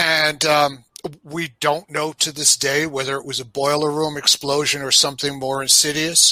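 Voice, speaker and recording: A man's fairly high voice in a New York accent, with a bright, sharp tone and monotone, flat intonation. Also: moderate pace. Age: 60s. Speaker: podcast guest. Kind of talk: casual chat. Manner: halting, many fillers and repeats.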